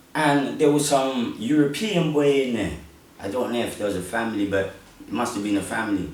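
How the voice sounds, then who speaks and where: A man with a London accent speaks fairly quickly at a medium pitch, his pitch swinging very widely. The recording has audible room echo and noticeable background noise. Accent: London multicultural English. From South London, England (born Congo, moved at five). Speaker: podcast host. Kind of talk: casual interview chat.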